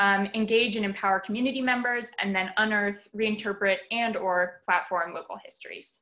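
Speaking at a moderate pace with hardly any pauses, a woman has a bright, sharp tone, medium pitch and fairly even intonation over a quiet background. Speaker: public art manager and moderator. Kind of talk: moderated panel discussion. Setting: video call.

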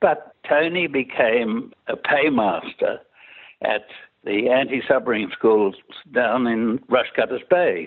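A man with an Australian accent, medium pitch, lively intonation and a very slow pace. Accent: Australian, older educated style. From Sydney, Australia. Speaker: war veteran. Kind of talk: oral history interview.

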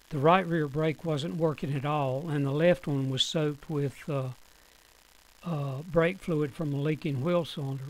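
Noticeable background noise behind a man with an American accent, fairly high in pitch, moving at a moderate pace with fairly even intonation. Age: 70s. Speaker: professional mechanic. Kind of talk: tutorial. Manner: informal, explanatory.

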